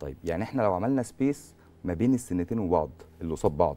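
A man's dark, mellow tone at a fairly quick pace, with very wide pitch swings. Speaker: dentist; guest. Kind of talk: TV medical interview; interview answer explaining dental treatment. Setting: studio. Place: studio. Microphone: lapel.

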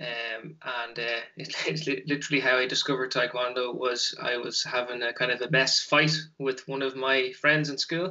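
With a Dublin accent, the speaker keeps a moderate pace and fairly even intonation. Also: man. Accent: Dublin Irish. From Dublin, Ireland. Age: 30s. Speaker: taekwon-do instructor. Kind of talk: casual interview. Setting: video call. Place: home room.

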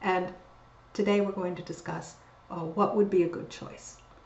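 A woman speaks with audible room echo. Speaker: university lecturer. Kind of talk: lecture. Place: home room. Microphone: webcam.

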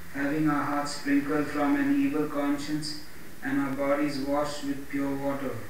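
A man speaks at a moderate pace in a monotone, flat intonation. The room has strong echo, and there is light background noise. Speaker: pastor and evangelist. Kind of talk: Bible reading with preaching intro. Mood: earnest devotional. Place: home room.

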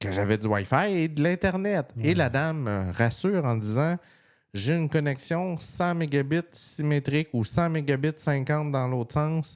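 Animated in tone, a man speaks at a fairly slow pace with lively intonation. The background is quiet. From Quebec. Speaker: tech podcast co-host. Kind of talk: casual chat. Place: home room.

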